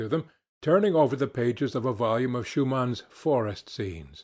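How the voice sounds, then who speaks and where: A man speaks in an unremarkable speaking voice at a medium pitch and moderate pace, with lively intonation. The recording is very clean, with a silent background. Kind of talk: audiobook reading.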